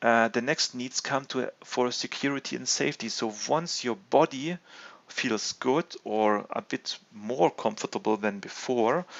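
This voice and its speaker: A man speaks at a medium pitch with a non-native accent. His pace is fairly slow, with ordinary pitch variation. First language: not English. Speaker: gaming video host. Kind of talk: video game commentary and discussion. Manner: halting, many fillers and restarts.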